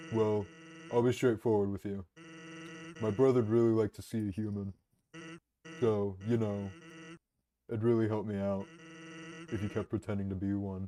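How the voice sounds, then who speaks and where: A man speaks in a put-on character voice with a fairly low pitch. His long pauses come often. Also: moderate pace. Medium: game stream. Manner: laid-back, deadpan.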